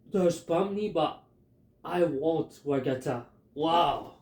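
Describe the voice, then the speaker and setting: With a Filipino accent, a man speaks at a fairly high pitch and with ordinary pitch variation. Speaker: YouTuber. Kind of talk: casual fan theory monologue. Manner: halting, many fillers; animated.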